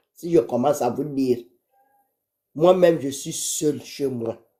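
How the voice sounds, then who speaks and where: A woman speaking at a very slow pace. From Gabon. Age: 60s. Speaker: caller to a live stream. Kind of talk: live stream call-in.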